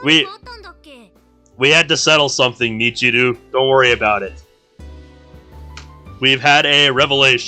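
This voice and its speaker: Music plays in the background as a man at medium pitch talks at a moderate pace, with ordinary pitch variation and long, frequent pauses. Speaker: live streamer, visual novel playthroughs. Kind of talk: reading game dialogue aloud.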